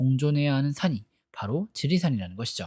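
A very clean recording with a silent background, at a moderate pace. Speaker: film and drama review youtuber. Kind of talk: scripted narration. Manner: formal.

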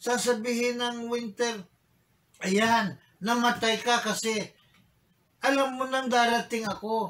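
A man speaks at a very slow pace with a Filipino accent and an extremely high pitch. His tone is bright and sharp, and his intonation stays fairly even. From Philippines. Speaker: bishop and preacher. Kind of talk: sermon in Taglish; rousing sermon, rhetorical questions to congregation. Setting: church. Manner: emphatic, repeating phrases for emphasis; urgent, exhorting, pleading. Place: office.

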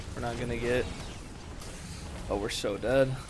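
A man speaks with music in the background. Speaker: gamer. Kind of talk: gaming commentary, frustrated play. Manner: angry, exasperated.

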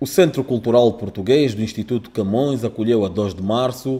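At a moderate pace, a man speaks in a dark, mellow tone at a medium pitch. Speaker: news reporter. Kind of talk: news reading, scripted report voiceover. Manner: formal, measured.

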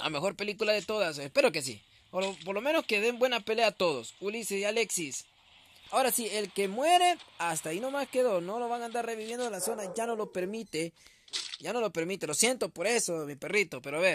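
A man with a high pitch and an animated tone, at a fairly quick pace. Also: lively intonation. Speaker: gaming streamer commentating a tournament. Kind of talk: live commentary.

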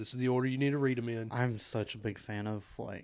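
A man talks at a fairly quick pace. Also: quiet background. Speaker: podcast co-host. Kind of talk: casual podcast chat. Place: home room. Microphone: studio mic.

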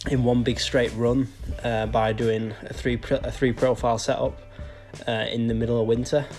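Faint music in the background behind a man at a moderate pace. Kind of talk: casual vlog chat while working. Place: street. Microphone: phone near.

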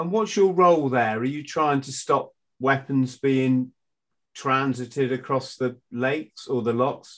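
A man with a British accent speaks at a fairly slow pace and medium pitch. His pitch variation is ordinary, and the background is quiet. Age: 50s. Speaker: podcast host, former Royal Marine. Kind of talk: casual interview. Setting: video call. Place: home room. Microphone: video call.

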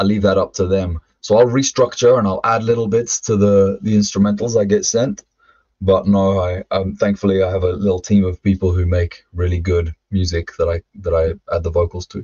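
In a London accent, the somewhat breathy voice moves at a moderate pace with fairly even intonation over a quiet background. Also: man. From London, England (also Ireland). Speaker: former rap metal vocalist; podcast guest. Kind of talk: interview testimony. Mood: reflective storytelling. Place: home room. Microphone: webcam.

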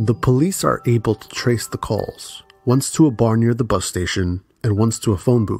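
A man at medium pitch and moderate pace, with ordinary pitch variation, big swings in loudness and music in the background. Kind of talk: true crime documentary narration.

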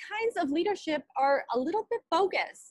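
Over a quiet background, a woman speaks at a moderate pace with very wide pitch swings, the sound dry with no echo. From Canada, Winnipeg. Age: 20s. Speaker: alumna keynote speaker. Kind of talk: commencement speech. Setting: video call. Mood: earnest, encouraging. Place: home room. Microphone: earbuds.

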